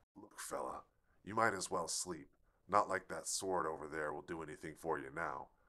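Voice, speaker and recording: A put-on character voice at a moderate pace. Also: man, very deep, low pitch for a man. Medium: read story. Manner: drawling, smug and taunting.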